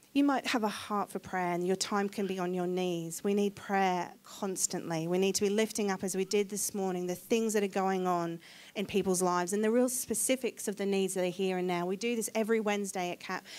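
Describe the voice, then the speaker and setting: A woman with a slight English accent and a medium pitch talks at a fairly quick pace with fairly even intonation on a very clean recording with a silent background. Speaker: charity representative speaking at church. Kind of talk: church talk. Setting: church service.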